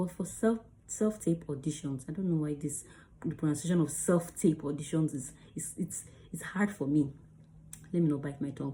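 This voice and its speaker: The voice has a dark, mellow tone and is somewhat breathy, with ordinary pitch variation and long, frequent pauses. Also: woman, very deep, low pitch for a woman. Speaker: actor and video creator. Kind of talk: tutorial. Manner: fast.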